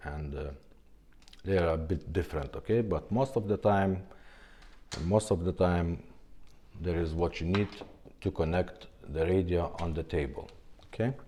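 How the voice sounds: A man's dark, mellow tone at a fairly slow pace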